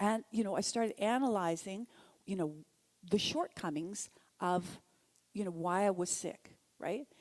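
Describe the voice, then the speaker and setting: With long, frequent pauses, a woman speaks at a fairly slow pace and medium pitch, her pitch varying in an ordinary way. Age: 60s. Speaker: speaker at a spiritual center, therapist. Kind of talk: sermon-style talk. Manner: conversational.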